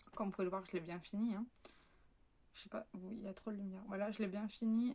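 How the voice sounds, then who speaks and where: A woman's somewhat breathy voice. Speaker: beauty vlogger. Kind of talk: casual product review vlog. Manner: chatty with many fillers.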